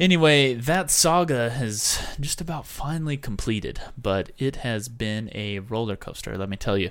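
An American man with an unremarkable speaking voice talks at a moderate pace in a medium pitch, with lively intonation. He hardly pauses, and the recording is very clean with a silent background. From US Southwest. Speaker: podcast co-host. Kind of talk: casual chat. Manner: laughs often.

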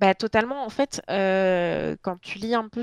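A woman talks at a very slow pace, her medium pitch showing ordinary variation. The recording is very clean with a silent background, and the sound is dry and close with no echo. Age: 30s. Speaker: book blogger. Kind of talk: casual chat.

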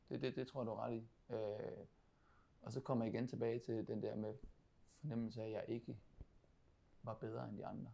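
A man talks at a moderate pace with vocal fry and ordinary pitch variation. He leaves long, frequent pauses. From Denmark, Funen (Odense). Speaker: professional footballer, team captain. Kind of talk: interview conversation. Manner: halting, many repetitions.

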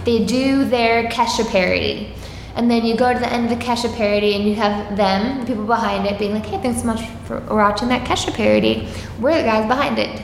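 With an American accent, a woman speaks at a fairly quick pace and fairly high pitch with fairly even intonation over noticeable background noise. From Long Island, New York (Suffolk County). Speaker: comedian. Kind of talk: casual chat. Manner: mellow.

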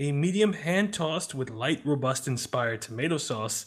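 The voice is somewhat breathy, with lively intonation. It moves at a moderate pace. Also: man. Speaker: podcast co-host. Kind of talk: casual chat. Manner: laughs often.

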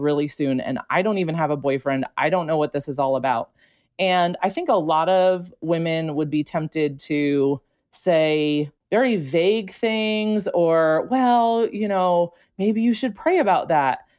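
With an unremarkable speaking voice, a woman with an American accent talks at a fairly slow pace, fairly low in pitch and with lively intonation, in a very clean recording with a silent background. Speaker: teacher and military spouse. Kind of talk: personal testimony in a podcast interview.

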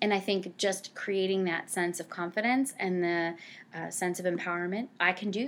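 With a normal speaking voice, a woman in an American accent talks at a fairly low pitch and a moderate pace. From New Jersey (Cranford). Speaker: nonprofit director for family services. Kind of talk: interview.

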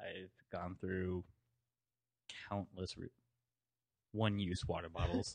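Very slow and very deep, a man's low voice holds a monotone, flat intonation broken by long, frequent pauses. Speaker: junior coffee roaster and barista. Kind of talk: casual chat. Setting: hotel room, recording while traveling.

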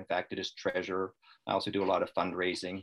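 A man with a plain, everyday voice talks at a fairly quick pace. His pitch is fairly low, and the background is quiet. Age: 60s. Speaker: retired electronics repairman, lung cancer patient. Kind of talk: interview. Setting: video call.

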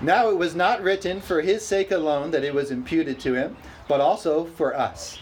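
Lively intonation from a man at a moderate pace, over noticeable background noise. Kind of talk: sermon, preacher in full flow with a live congregation answering. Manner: animated, rousing, with call-and-response "amen?" and bursts of laughter; repetitive, hammering key phrases for emphasis.

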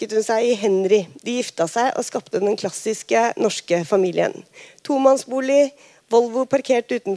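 The pitch shifts in an ordinary way. The delivery is plain reading aloud.

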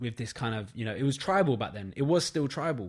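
The recording is very clean and the background silent. It carries a man's medium-pitched voice. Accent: London. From London. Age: 20s. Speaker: photographer. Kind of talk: casual chat. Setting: studio.

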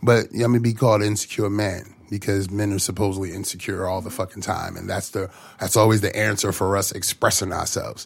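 Speaking very fast with hardly any pauses, a man uses a fairly low, somewhat breathy voice with monotone, flat intonation. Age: 30s. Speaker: guest. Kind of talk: casual chat.

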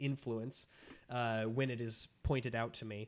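A man talks at a moderate pace, his pitch medium for a man. It is an ordinary speaking voice. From Minnesota. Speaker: podcast guest, movie podcaster. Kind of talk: casual chat.

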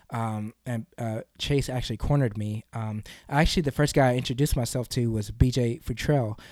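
A man with an American accent speaks in an ordinary speaking voice at a medium pitch and a fairly quick pace, with fairly even intonation, hardly any pauses, a dry, close sound with no echo, and a very clean recording with a silent background. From US South, Kentucky. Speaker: wrestler and youth sports coach. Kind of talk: interview. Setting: studio.

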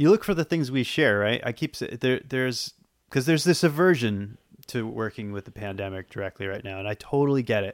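Someone with an American accent speaks at a fairly quick pace with lively intonation. It is a normal speaking voice. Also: man, medium pitch for a man. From Boston, US. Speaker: horror film writer and director. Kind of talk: interview. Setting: video call.

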